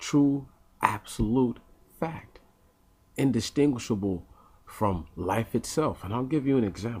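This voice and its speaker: A soft-spoken man talks at a fairly slow pace, his medium-pitched voice somewhat breathy. His intonation is lively, broken by long, frequent pauses. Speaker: vlogger. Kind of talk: casual monologue. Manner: halting.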